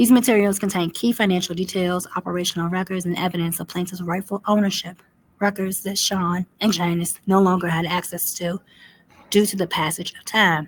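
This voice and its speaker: A woman speaks with fairly even intonation and a somewhat breathy voice. Her loudness swings widely. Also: medium pitch for a woman, fairly quick pace. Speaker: commentary video host. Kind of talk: reading aloud a legal complaint with commentary. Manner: fast.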